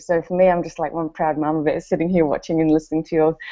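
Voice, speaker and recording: A woman with a New Zealand accent. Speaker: network marketer. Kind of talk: testimony.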